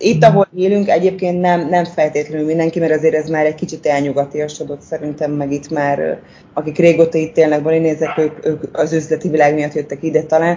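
A woman talks at a fairly quick pace with a very deep, low pitch and hardly any pauses. Her intonation stays monotone and flat. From Hungary, Székesfehérvár. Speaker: expat mother who moved abroad. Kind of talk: interview about living abroad.

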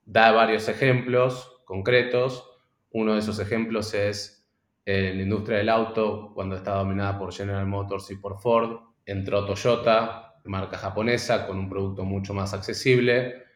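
A man's fairly low, monotone, flat voice with audible room echo. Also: fairly slow pace. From Argentina. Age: 30s. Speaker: startup founder. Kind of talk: interview. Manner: halting, repeats words.

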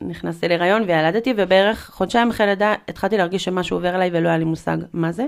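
A woman at a medium pitch and very fast pace, with ordinary pitch variation and hardly any pauses, in a very clean recording with a silent background. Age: 30s. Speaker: artist and mother sharing postpartum depression experience. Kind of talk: personal testimony in casual interview. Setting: in-person studio conversation.

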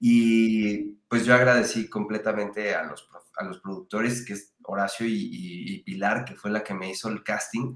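Using a normal speaking voice, a man talks fairly slowly with hardly any pauses. His pitch is fairly low and his intonation fairly even, while his loudness swings widely. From Mexico. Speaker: stage actor and singer. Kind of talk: interview.

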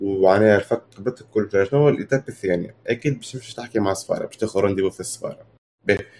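Very fast and fairly even in intonation, a man speaks in a dark, mellow tone. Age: 20s. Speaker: university student. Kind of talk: casual talk.

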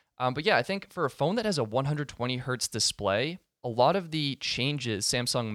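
The man has an unremarkable speaking voice, using ordinary pitch variation at a moderate pace in a very clean recording with a silent background and a dry, close sound with no echo. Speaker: podcast co-host. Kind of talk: casual tech podcast chat.

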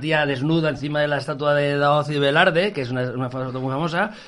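A man talking at a fairly quick pace, fairly even in intonation, hardly any pauses, over noticeable background noise. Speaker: anthropologist and writer. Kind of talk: casual chat. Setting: studio.

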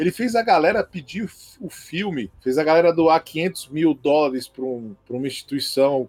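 Pitched fairly high, a man's voice swings very widely in pitch. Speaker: comic book expert and drawing teacher. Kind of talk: casual chat.

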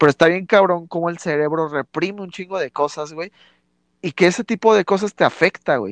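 Moving at a fairly quick pace, a man with a high voice shows ordinary pitch variation and big swings in loudness, recorded with a dry, close sound with no echo and a quiet background. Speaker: podcast co-host. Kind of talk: casual chat.

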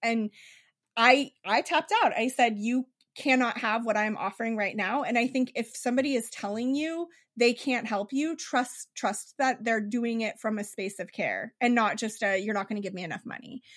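A woman speaks at a moderate pace with fairly high pitch and an animated tone. Her pitch moves in an ordinary way, and the recording is very clean with a silent background. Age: 40s. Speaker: clairvoyant energy reader. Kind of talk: casual chat.

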